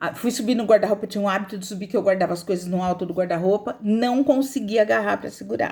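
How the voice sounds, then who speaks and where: A woman speaks at a medium pitch and a fairly quick pace. Her tone is animated, with ordinary pitch variation. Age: 60s. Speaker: video blogger sharing life story. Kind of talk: testimony.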